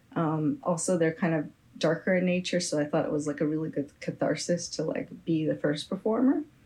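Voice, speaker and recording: Somewhat breathy, a woman with an American accent speaks in a dark, mellow tone at a fairly low pitch. She keeps a fairly quick pace, lively intonation, and very even loudness. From San Francisco Bay Area, California. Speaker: musician. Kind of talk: interview.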